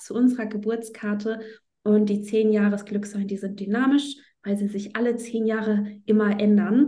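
A woman speaks with a fairly high pitch and fairly even intonation. Her tone is dark and mellow and somewhat breathy. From northern Germany, Flensburg. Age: 30s. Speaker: astrology teacher. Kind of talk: interview.

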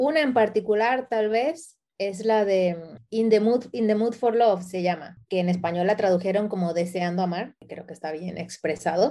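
A woman with a dark, mellow tone speaks at a medium pitch and moderate pace, with ordinary pitch variation and hardly any pauses. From Ecuador, moved to Spain at 12. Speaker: photographer and designer. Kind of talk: interview.

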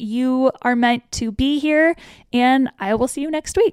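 In a dry, close sound with no echo, a woman speaks at a moderate pace with an animated tone, a high pitch and ordinary pitch variation. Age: 30s. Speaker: fashion influencer and podcast host. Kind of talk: casual solo talk. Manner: animated, laughing.

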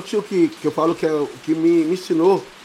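Noticeable background noise behind a man talking at a fairly quick pace, his pitch varying in an ordinary way. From São Paulo, Capão Redondo. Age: 40s. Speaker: samba and pagode singer. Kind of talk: casual chat.

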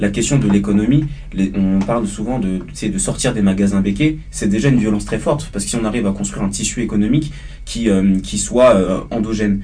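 Fairly quick, fairly low-pitched male speech amid noticeable background noise and audible room echo. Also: ordinary pitch variation. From Paris suburbs, France (Martinican family). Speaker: student activist. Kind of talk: panel discussion.

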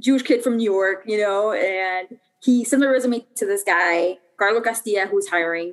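With a Chicago accent, a woman speaks in lively intonation. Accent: Chicago American English. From US Midwest, Chicago. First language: Spanish. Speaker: soccer club co-owner. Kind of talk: interview conversation.

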